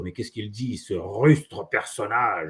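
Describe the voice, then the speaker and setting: Using a put-on character voice in a French accent, a man sounds guttural at a medium pitch. He talks at a moderate pace. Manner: mock-dramatic, exasperated.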